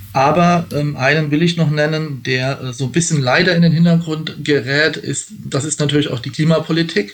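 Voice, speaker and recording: Noticeable background noise sits under fairly even intonation that runs on with hardly any pauses. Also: man, fairly high pitch for a man, moderate pace. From Rheinhessen, Rhineland-Palatinate. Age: 40s. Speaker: election candidate. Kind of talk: interview. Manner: hesitant, many fillers.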